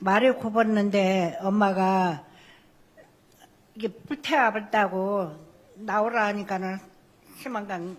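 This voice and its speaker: Long, frequent pauses break up a woman's very slow delivery. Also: medium pitch for a woman, ordinary pitch variation. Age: 80s+. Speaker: victim's family member. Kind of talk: testimony. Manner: halting.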